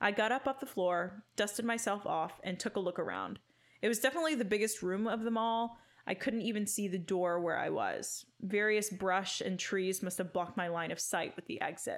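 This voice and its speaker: Speaking at a fairly quick pace, a woman uses a dramatic tone. Her pitch is medium, with ordinary variation. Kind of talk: creepypasta horror narration, read aloud; casual banter between co-hosts. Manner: dramatic, first-person storytelling with pauses and sighs.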